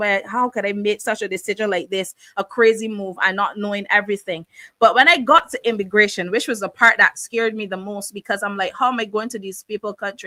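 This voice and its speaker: A woman with a Barbadian accent speaks at a fairly quick pace with hardly any pauses, her medium-pitched voice bright and sharp and her intonation fairly even. The recording is very clean, dry and close with no echo, and the background is silent. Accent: Barbadian (Bajan). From Barbados. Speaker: talk show host. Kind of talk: personal testimony. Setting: live stream, camera off.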